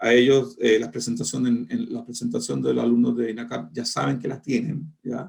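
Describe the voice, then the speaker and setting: With a Chilean accent, a man talks fairly quickly and hardly pauses. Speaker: foreign trade lecturer. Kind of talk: online lecture closing remarks. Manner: colloquial; halting.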